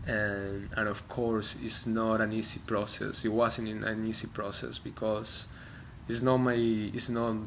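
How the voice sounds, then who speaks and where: A man with a Spanish accent talks at a fairly slow pace in a medium pitch, his tone bright and sharp and his intonation flat and monotone, with audible room echo around him. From Colombia. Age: 30s. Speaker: musician. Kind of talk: personal reflection monologue. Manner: halting, many fillers and restarts.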